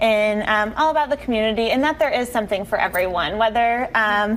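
A woman talks at a fairly quick pace. Her pitch varies in an ordinary way. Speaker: guest. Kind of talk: interview answer. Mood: friendly, upbeat. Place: studio.

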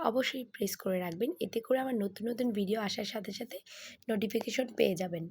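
Somewhat breathy and fairly high in pitch, a woman talks with ordinary pitch variation. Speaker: vlogger. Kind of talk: vlog narration. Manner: casual.

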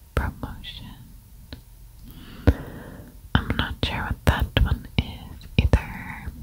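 Someone whispers in a soft-spoken way at a very slow pace. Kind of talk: casual think-aloud commentary. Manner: soft ASMR whisper.

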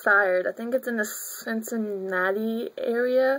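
With fairly even intonation, a woman speaks in a fairly high voice with a bright, sharp tone. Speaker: college student. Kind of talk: video blog talk to camera.

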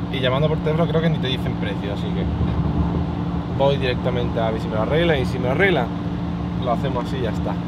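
A man at a very fast pace, dry sound with no echo, over loud background noise. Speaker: car vlogger. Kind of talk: casual vlog chat. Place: car. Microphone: phone near.

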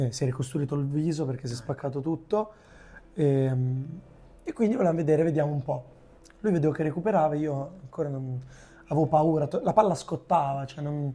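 A man's fairly high, somewhat breathy voice with a dark, mellow tone, ordinary pitch variation, a fairly quick pace and long, frequent pauses. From Lombardy, Milan area (Arluno); Lombardy. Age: 20s. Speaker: youtuber and amateur footballer; youtuber. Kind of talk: casual interview. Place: studio. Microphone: lapel.

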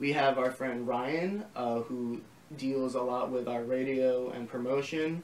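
Very slowly and with fairly even intonation, a man with an American accent speaks at a medium pitch, with audible room echo. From Long Island, New York; New York. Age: 20s. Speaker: record label founder; interviewee. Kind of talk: casual interview. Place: home room.

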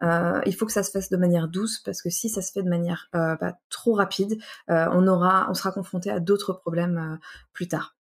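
A woman talks at a fairly quick pace in a medium pitch, somewhat breathy. The recording is very clean, with a silent background. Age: 20s. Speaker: recycling engineer and trainer. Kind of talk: casual interview.

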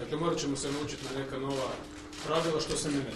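A man talks in a monotone, flat intonation. There is noticeable background noise and audible room echo. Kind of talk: press conference statement. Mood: critical, combative. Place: hall. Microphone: podium.

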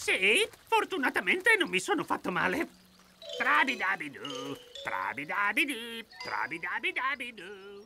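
This cartoonish character voice sits fairly high in pitch. Long pauses come often. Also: fairly slow pace. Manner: cheerful, sing-song, optimistic.

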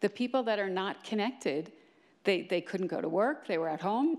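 Her intonation is lively. The woman moves at a fairly quick pace. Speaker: telecom agency official; panelist. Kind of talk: panel discussion. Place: stage. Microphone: handheld.

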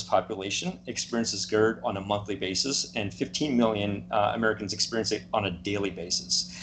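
Against light background noise, a man talks with vocal fry and ordinary pitch variation. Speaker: guest. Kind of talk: interview answer. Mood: calm, explanatory. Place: home room. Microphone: video call.

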